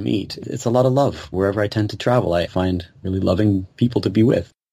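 A somewhat breathy man's voice, fairly low in pitch, dark and mellow in tone, at a fairly quick pace. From Canada, Kitchener, Ontario. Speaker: musician. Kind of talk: interview. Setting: video call.

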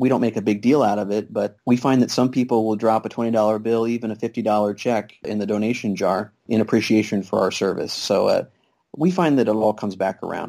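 With a Midwestern American accent, a man speaks very fast in a dark, mellow voice of medium pitch and fairly even intonation. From Kansas. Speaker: family physician and free clinic volunteer. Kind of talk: interview. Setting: Skype call.

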